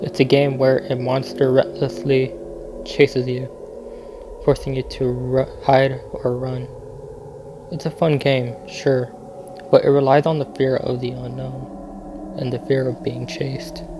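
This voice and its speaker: A man talks fairly slowly, pausing long and often. Noticeable background noise runs underneath. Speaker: horror game commentator. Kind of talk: video essay narration. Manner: slow, unsettling.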